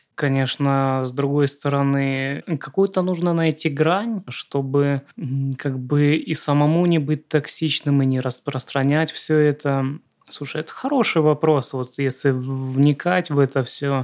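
A man speaks very slowly in a fairly high voice, his intonation fairly even. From Southern Russia. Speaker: screenwriter, podcast co-host. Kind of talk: casual chat.

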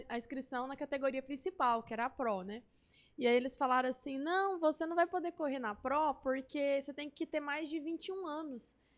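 Her pitch high and ordinary in its variation, the woman speaks at a moderate pace. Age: 20s. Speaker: motorcycle racer. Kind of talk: interview.

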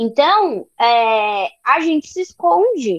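A woman's voice with a dry, close sound and no echo. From Brazil, São Paulo city. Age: 20s. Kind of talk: casual interview chat. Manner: animated.

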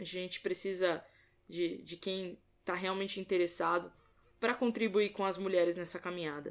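Moderate pace, fairly even intonation, and a medium pitch in a woman's voice, an unremarkable speaking voice. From Brazil, São Paulo state. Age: 20s. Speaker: sports commentator. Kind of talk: podcast interview.

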